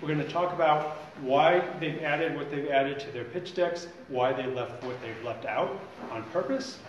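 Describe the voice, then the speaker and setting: Fairly quick speech with audible room echo and light background noise. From grew up in New York, born in Dublin. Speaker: workshop mentor presenter. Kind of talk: workshop presentation. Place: meeting room. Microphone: camera far.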